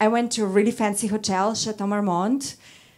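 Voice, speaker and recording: A woman with a Russian accent, on a very clean recording with a silent background. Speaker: model and first-time stand-up comedian. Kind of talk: stand-up. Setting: stage with audience. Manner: halting.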